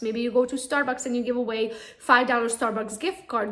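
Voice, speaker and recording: A woman with a high pitch speaks at a very fast pace. Noticeable background noise and audible room echo surround her voice. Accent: non-native. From Romania (Transylvania). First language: not English (English is her third language). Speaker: real estate agent. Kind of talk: conference talk. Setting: real estate expo.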